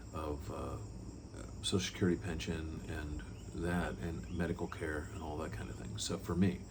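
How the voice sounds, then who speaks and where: With vocal fry and a very deep, low pitch, a man speaks amid audible room echo. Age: 60s. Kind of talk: personal testimony talk. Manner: conversational with frequent fillers and repeats.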